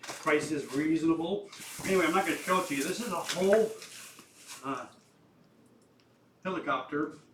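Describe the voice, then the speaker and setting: A man talks at a fairly quick pace broken by long, frequent pauses, with ordinary pitch variation, audible room echo and noticeable background noise. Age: 70s. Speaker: flight sim hobbyist video maker. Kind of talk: casual tutorial-style vlog. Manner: halting, with many fillers.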